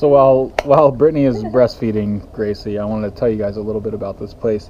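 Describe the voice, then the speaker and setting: A man is heard speaking over light background noise. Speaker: family vlogger. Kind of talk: casual vlog chat. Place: cafe. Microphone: phone near.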